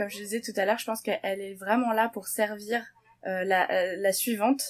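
The voice shows ordinary pitch variation in a very clean recording with a silent background. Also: woman. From Paris suburbs, France. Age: 30s. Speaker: photographer. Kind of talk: casual interview chat.

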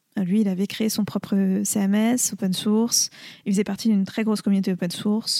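The speech moves at a moderate pace with very even loudness and a monotone, flat intonation. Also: woman, medium pitch for a woman. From France, Lyon. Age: young. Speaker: social entrepreneur. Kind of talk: interview conversation.

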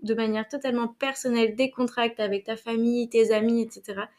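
At a moderate pace, a woman talks in a fairly high pitch with monotone, flat intonation. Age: 30s. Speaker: HR specialist and coach. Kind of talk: interview conversation.

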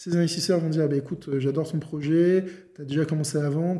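A man at a moderate pace with fairly even intonation, plus noticeable background noise and audible room echo. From France, La Rochelle. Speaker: lawyer and podcast host. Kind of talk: interview.

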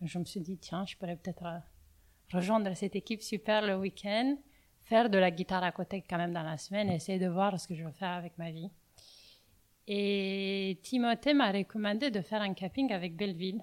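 Someone speaks in a Romanian accent with ordinary pitch variation. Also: woman, medium pitch for a woman, moderate pace, very clean recording, silent background. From Romania, Bucharest. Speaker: coffee roaster. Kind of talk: interview. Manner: halting.

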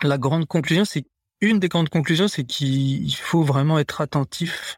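Recorded with a dry, close sound and no echo, a man speaks in a somewhat breathy voice. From Paris suburbs, France. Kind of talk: interview. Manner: halting.

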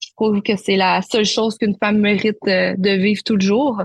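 Somewhat breathy and flat, a woman with a Quebec accent talks at a fairly high pitch in a monotone, recorded dry and close with no echo. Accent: Québécois. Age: 20s. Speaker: naturopath and life coach. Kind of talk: interview testimony.

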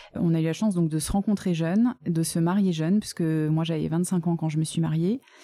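A woman talks at a fairly quick pace with hardly any pauses, her fairly low voice dark and mellow in tone, very even in loudness, with fairly even intonation. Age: 30s. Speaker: adoptive mother. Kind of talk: testimony.

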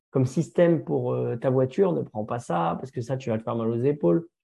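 A man talks at a fairly quick pace and a medium pitch. His tone is dark and mellow, and somewhat breathy. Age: 30s. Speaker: firefighter and social media influencer. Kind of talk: interview testimony. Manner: halting, many fillers.

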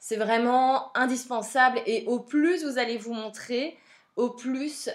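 With a Belgian accent, a woman of fairly high pitch speaks at a very slow pace with ordinary pitch variation. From Belgium. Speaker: podcast host, social media coach. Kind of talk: solo podcast monologue. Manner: casual, frequent fillers.

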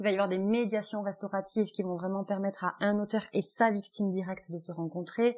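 A woman speaks at a medium pitch, her intonation monotone and flat. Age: 30s. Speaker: family mediator. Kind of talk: interview. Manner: thoughtful, with hesitations.

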